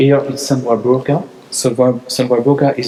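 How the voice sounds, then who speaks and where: Through noticeable background noise, a man with a French accent speaks in a monotone, flat way. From France. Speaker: church tour guide. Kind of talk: guided tour. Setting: inside a church. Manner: halting, with many fillers.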